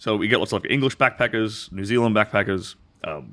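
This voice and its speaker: A man's fairly low, bright, sharp voice with an Australian accent, very fast in pace and fairly even in intonation. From rural Western Australia. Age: 30s. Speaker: former adult film performer. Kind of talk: podcast interview. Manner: clear enunciation.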